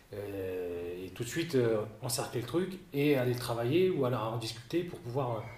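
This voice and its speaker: With lively intonation, a man's voice carries audible echo from the room. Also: medium pitch for a man, moderate pace. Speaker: former baseball player and coach. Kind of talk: interview. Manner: halting, many repetitions.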